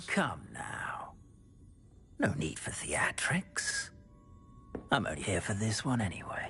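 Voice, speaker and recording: Music plays in the background as someone whispers in a put-on character voice. The pace is fairly slow, broken by long, frequent pauses. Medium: video game. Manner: smug, condescending.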